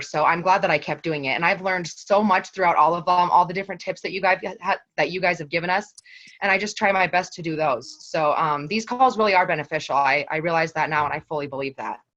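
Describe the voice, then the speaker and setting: Speaking at a very fast pace with ordinary pitch variation, the voice has a bright, sharp tone and an American accent over a quiet background. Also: woman. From eastern Montana. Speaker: health coach. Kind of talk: team call talk.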